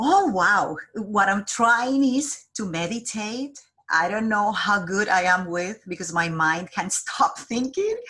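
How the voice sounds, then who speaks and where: With a Colombian accent, a woman speaks very slowly at a medium pitch, her intonation lively. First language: Spanish. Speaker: job developer. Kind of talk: interview. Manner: halting.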